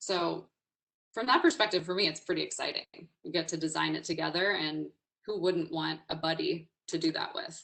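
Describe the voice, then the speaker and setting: The woman leaves long, frequent pauses while keeping a moderate pace. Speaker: executive coach and webinar speaker. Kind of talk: webinar presentation. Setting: online webinar. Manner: loud; energetic, informal.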